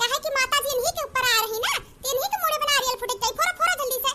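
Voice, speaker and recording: In a squeaky, cartoonish character voice, a woman talks at a very fast pace with an extremely high pitch and lively intonation. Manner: bossy, hurried.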